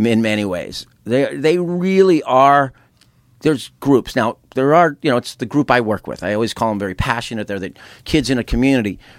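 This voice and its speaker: The recording is very clean, with a silent background. A man with a medium pitch speaks at a moderate pace with lively intonation. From Southern California. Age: 50s. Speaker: concert tour founder. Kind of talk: casual interview. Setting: studio. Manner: halting, many fillers and restarts.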